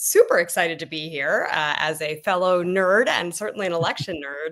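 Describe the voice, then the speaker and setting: In an American accent, a woman talks at a fairly quick pace. She has a normal speaking voice with a fairly low pitch. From United States. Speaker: political volunteer. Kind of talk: podcast interview.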